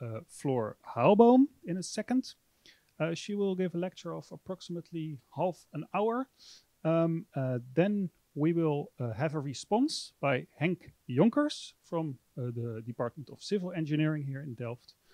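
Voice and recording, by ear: With lively intonation and a dark, mellow tone, a man speaks at a fairly high pitch in a dry, close sound with no echo.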